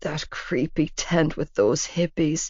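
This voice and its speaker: Using a put-on character voice, a woman drawls at a fairly slow pace in a very deep, low pitch that sounds raspy and hoarse. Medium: read story. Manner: lazy drawl.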